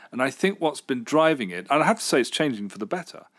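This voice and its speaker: A man with a medium-pitched voice and vocal fry talks with very wide swings in pitch. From Britain. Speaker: local radio presenter. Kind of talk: interview chat.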